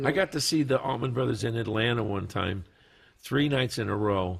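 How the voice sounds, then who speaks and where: Somewhat breathy, a man talks at a fairly low pitch with ordinary pitch variation. His pace is fairly slow. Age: 60s. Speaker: guitarist, studio guest. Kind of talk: casual chat. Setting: studio.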